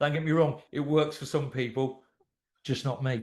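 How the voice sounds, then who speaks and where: A man with a British accent talks at a moderate speed. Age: 60s. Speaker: anxiety therapist and coach. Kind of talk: podcast interview.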